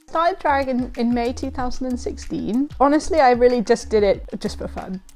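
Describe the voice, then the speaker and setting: Moderate pace with music in the background. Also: woman. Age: 30s. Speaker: drag king. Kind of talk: documentary interview.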